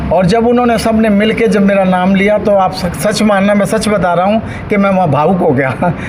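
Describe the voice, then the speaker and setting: A man talks at a high pitch. Audible room echo and noticeable background noise surround him. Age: 60s. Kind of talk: interview speech to reporter. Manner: emotional, earnest.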